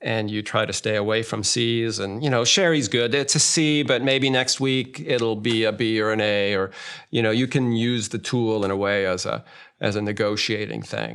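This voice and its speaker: With an unremarkable speaking voice, a man with an American accent talks at a moderate pace, his medium-pitched voice keeping a fairly even intonation. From United States. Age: 60s. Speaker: marriage therapist. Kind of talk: interview. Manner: conversational.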